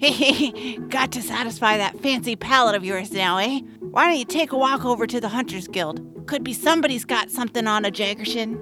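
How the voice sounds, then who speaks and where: Someone talks in a put-on character voice at a fairly quick pace. Clear music plays in the background. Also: female-sounding voice, fairly high pitch for a woman. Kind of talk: folksy trader talk. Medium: audio drama. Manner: teasing, chummy, salesy.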